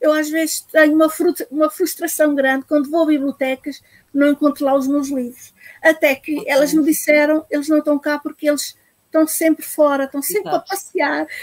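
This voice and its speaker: Her voice is high-pitched, with fairly even intonation and a fairly quick pace. The woman's sound is dry and close with no echo. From Portugal. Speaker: children's book author. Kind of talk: live-streamed interview. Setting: live video stream.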